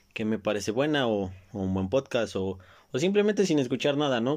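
A man speaks with a Mexico City accent at a moderate pace. The background is quiet. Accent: Mexican Spanish (Mexico City). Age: 20s. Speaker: podcast host. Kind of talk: solo casual monologue. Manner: halting, many repeated words.

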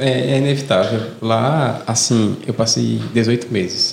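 A man speaks at a medium pitch with fairly even intonation. There is noticeable background noise. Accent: Fortaleza. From Fortaleza, Ceará, Brazil. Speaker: podcast co-host. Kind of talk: casual chat.

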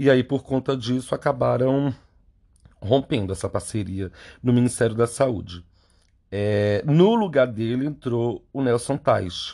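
A man's dark, mellow voice at medium pitch, fairly slow pace and ordinary pitch variation, over a quiet background. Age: 30s. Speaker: podcast host and clinical psychologist. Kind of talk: solo commentary monologue.

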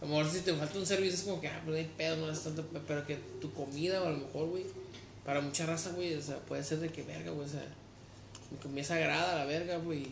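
The voice rushes at a very fast pace with monotone, flat intonation amid audible room echo and noticeable background noise. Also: man, fairly high pitch for a man. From Mexico. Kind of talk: casual chat.

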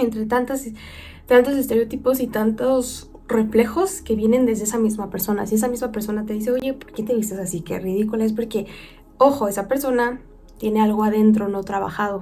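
Music plays behind a woman with a Mexican accent who speaks fairly quickly at a fairly high pitch. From Mexico. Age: 20s. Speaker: podcast host. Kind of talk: casual monologue. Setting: video recording. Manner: loud; animated.

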